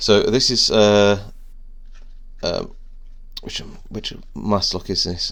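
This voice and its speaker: Someone speaks with a British accent at a very slow pace. Long pauses come often. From UK. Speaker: lockpicking hobbyist youtuber. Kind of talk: unboxing video commentary. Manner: hesitant, many fillers.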